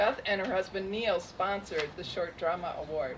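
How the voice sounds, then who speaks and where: The voice is shaky and moves at a fairly slow pace. Its pitch varies in an ordinary way. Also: woman. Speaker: festival program director. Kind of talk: award ceremony speech.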